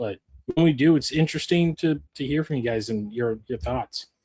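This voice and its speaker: The tone is dark and mellow. Delivery comes at a moderate pace with ordinary pitch variation. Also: man. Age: 40s. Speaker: podcast host. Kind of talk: casual chat. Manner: casual, with many fillers.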